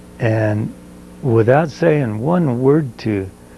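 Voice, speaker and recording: Over noticeable background noise, a man with an American accent speaks at a very slow pace and medium pitch with lively intonation. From southeastern Colorado, rural farm. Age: 80s+. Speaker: oral history interviewee. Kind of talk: oral history interview. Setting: at his home. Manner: halting, many fillers.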